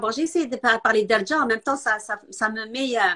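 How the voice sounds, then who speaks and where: A woman's fairly high voice with ordinary pitch variation, in a dry, close sound with no echo. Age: 50s. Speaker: nutrition specialist. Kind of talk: casual interview chat. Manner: halting.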